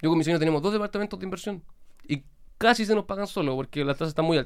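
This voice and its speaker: Ordinary pitch variation in a Chilean accent. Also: man. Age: young. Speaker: lawyer and influencer. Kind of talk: casual interview chat.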